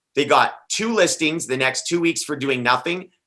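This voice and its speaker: Loud and animated, a man speaks at a fairly quick pace with a bright, sharp tone and very wide pitch swings. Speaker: top listing real estate agent. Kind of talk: panel discussion.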